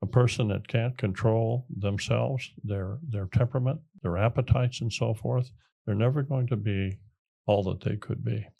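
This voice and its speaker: A man with an American accent speaks at a moderate pace in a medium pitch, his dark, mellow tone somewhat breathy, with ordinary pitch variation against a quiet background. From small-town America. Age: 70s. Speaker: military veteran and entrepreneur. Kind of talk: interview. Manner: halting, with fillers and restarts.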